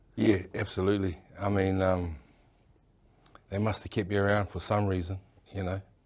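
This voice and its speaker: Speaking at a moderate pace with long, frequent pauses, a man holds a flat monotone in a very deep, low voice. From New Zealand, Auckland. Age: 60s. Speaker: tattoo artist. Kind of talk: interview. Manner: halting.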